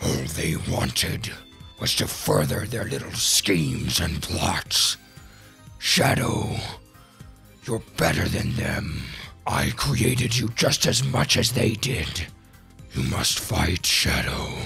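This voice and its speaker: A man's put-on character voice, very deep and low, fairly slow, with very wide pitch swings over clear music in the background. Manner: pleading, sinister.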